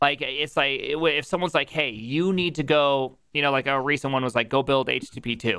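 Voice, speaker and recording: A man's fairly high, bright, sharp voice at a moderate pace, with ordinary pitch variation, very even loudness and hardly any pauses, on a very clean recording with a silent background. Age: 30s. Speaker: streamer. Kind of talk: casual chat. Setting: live stream. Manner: animated.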